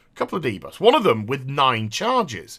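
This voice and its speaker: A man with a British accent speaks at a fairly high pitch, his voice swinging very widely in pitch. The recording is very clean, with a silent background. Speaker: gaming youtuber. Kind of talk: gameplay commentary.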